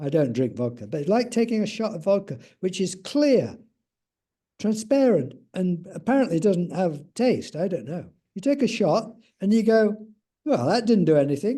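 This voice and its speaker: With an English accent, a man speaks at a high pitch in a dark, mellow tone. His pitch swings very widely, and he pauses long and often. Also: moderate pace. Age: 70s. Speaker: spiritual teacher. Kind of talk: casual interview chat.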